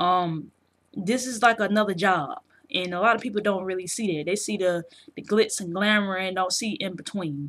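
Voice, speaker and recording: Speaking at a moderate pace, a woman with a medium-pitched voice and a South Carolina accent uses ordinary pitch variation. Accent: South Carolina, noticeable in her speech. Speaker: video game journalist and vlogger. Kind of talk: casual vlog commentary. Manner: casual, slang-heavy with fillers.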